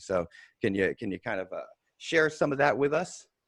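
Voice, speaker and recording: Over a quiet background, a man talks at a fairly quick pace with lively intonation, the sound dry and close with no echo. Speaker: podcast host. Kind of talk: casual interview intro. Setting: home at night, kids sleeping.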